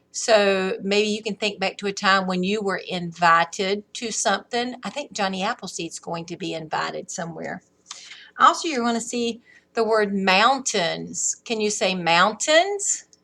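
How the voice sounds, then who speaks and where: Putting on a raspy character voice, a woman speaks at a moderate pace and medium pitch with ordinary pitch variation. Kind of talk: teacher reading to first graders. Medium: read story. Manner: warm, encouraging, slow.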